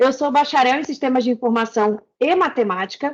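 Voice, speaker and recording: A woman with a Rio de Janeiro accent speaks at a moderate pace in a high voice, her pitch varying in an ordinary way. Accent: carioca accent, noticeable. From Rio de Janeiro, Brazil. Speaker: back-end developer, speaker. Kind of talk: tech talk presentation.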